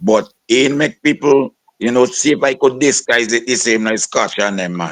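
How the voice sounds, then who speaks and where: In a plain, everyday voice, a man speaks at a fairly slow pace with ordinary pitch variation, the sound dry and close with no echo. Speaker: soca and calypso singer. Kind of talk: interview.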